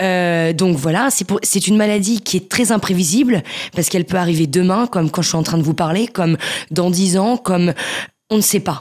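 On a very clean recording with a silent background, a woman speaks at a moderate pace with very even loudness and ordinary pitch variation. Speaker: author with multiple sclerosis. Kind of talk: interview testimony.

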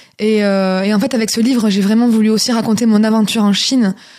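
The speech moves at a very fast pace in a dark, mellow tone. Its intonation stays monotone and flat. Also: woman. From southern France, Toulouse. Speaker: singer and author. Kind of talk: radio interview. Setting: radio studio.

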